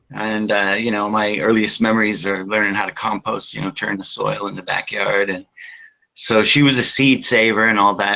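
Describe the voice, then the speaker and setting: An American man with an American accent speaks at a moderate pace in an ordinary speaking voice with fairly even intonation. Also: fairly low pitch for a man. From Massachusetts, US. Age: 60s. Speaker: cannabis grower and breeder. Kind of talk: podcast interview.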